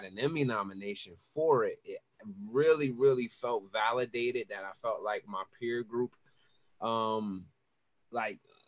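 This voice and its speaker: A man's dry, close voice with no echo, medium in pitch for a man, at a fairly slow pace with ordinary pitch variation. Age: 30s. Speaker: music director. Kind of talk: casual interview chat. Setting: video call. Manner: halting, many repeated words.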